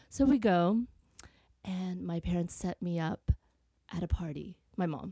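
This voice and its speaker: A woman speaks at a fairly slow pace and fairly low pitch, leaving long, frequent pauses. Her tone is dark, mellow and somewhat breathy, in a dry, close sound with no echo. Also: ordinary pitch variation. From Vietnam. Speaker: actress. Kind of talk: casual chat.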